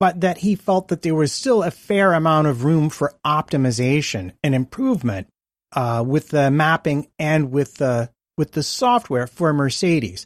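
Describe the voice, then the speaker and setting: At a moderate pace, the speaker talks with an American accent on a very clean recording with a silent background. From United States. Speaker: podcast co-host. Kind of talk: casual chat.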